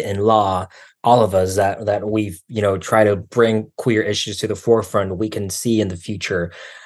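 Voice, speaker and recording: A man with a plain, everyday voice, fairly low in pitch, speaks with fairly even intonation at a moderate pace over a quiet background. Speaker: graduate student and activist. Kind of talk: casual chat. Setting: video call.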